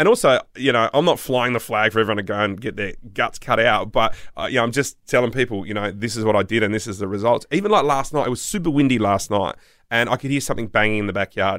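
A man with an Australian accent at a very fast pace, on a very clean recording with a silent background. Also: medium pitch for a man, ordinary pitch variation. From South Australia. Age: 40s. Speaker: podcast host. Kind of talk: casual chat.

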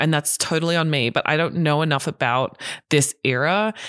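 A woman with an Australian accent speaks in a very deep, low pitch at a fairly slow pace. Her intonation is fairly even, and the sound is dry and close with no echo. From Australia, raised partly in Hong Kong. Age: 30s. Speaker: podcast co-host. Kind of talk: casual chat.

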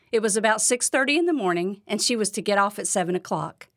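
A woman talks in an unremarkable speaking voice at medium pitch with lively intonation. The recording is very clean, with a silent background. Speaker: podcast host and devotional speaker. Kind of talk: devotional talk. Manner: warm, encouraging.

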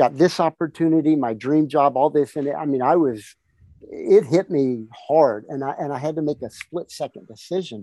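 A dark, mellow tone comes through at a moderate pace with ordinary pitch variation, recorded dry and close with no echo against a quiet background. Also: man. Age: 60s. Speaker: fitness entrepreneur and author. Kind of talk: interview conversation.

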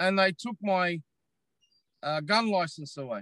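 In an Australian accent, a man speaks with a bright, sharp tone and lively intonation, the sound dry and close with no echo. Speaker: social media commentator. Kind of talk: casual interview chat. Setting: in a parked car. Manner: animated.

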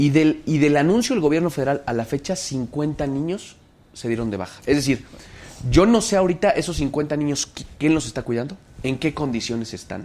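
Lively intonation from a man with a fairly high pitch and a dark, mellow tone. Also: moderate pace. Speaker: mayor. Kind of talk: interview.

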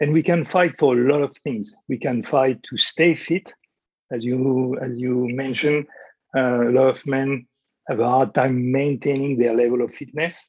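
A man with a French accent talks at a moderate pace and medium pitch, with fairly even intonation. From France. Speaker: fitness coach and former navy trainer. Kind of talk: interview. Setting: remote call from abroad. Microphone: poor audio quality.

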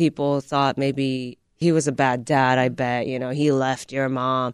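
With a Japanese accent, a woman speaks at a fairly slow pace. The sound is dry and close, with no echo. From Japan, moved to the US at about ten. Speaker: stand-up comedian. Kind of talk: casual interview.

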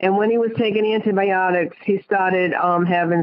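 The speaker is a woman with a Rhode Island accent. Her intonation stays fairly even. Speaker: caller. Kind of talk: phone call to a psychic. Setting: phone call.

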